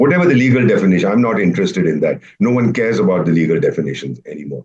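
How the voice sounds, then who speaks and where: Speaking very fast at a medium pitch, a man shows vocal fry and very wide pitch swings. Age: 70s. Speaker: retired diplomat. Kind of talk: panel discussion. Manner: animated.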